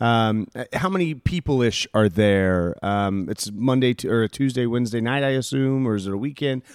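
In a plain, everyday voice, a man speaks at a moderate pace with medium pitch and ordinary variation, recorded dry and close with no echo on a very clean recording with a silent background. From United States. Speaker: podcast host. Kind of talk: casual chat.

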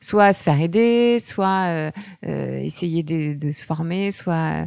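Recorded very cleanly against a silent background, a woman speaks at a fairly low pitch with a dry, close sound and no echo. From France, Picardy. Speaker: author. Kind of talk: casual interview. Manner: halting, many repetitions.

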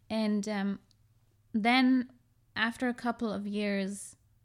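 A woman speaks at a medium pitch with a German accent. Her intonation stays fairly even, and the recording is very clean with a silent background. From Germany, half Iranian. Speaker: podcast guest. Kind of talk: casual chat.

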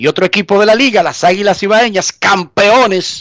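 A man talks at a fairly slow pace with a high pitch, in a dry, close sound with no echo. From Dominican Republic. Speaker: sports journalist, radio co-host. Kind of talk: radio sports talk show. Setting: remote line from US into radio show.

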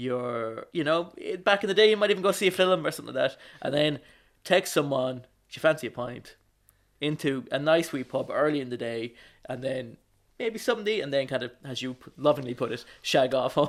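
Fairly quick speech from a man with an Irish accent, fairly high pitch, lively intonation and big swings in loudness. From Ireland, County Wicklow. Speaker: podcast co-host. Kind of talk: casual chat. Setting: remote call.

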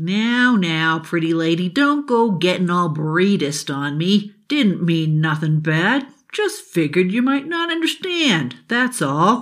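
A female-sounding voice at a middle pitch performs a put-on character. It moves at a fairly slow pace with hardly any pauses. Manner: cocky, excitable.

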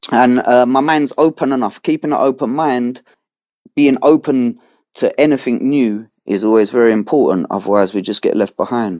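A man speaks in a London accent at a medium pitch and moderate pace, his tone dark and mellow with ordinary pitch variation. The sound is dry and close with no echo against a quiet background. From London, England. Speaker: hip hop artist. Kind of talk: interview. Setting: remote call. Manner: halting, repeats words.

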